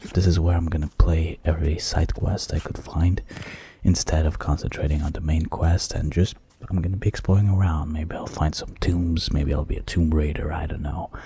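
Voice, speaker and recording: At a moderate pace, a man speaks in a whisper. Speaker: gaming YouTuber; gamer. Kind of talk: let's play commentary. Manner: whispering; deep. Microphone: studio mic.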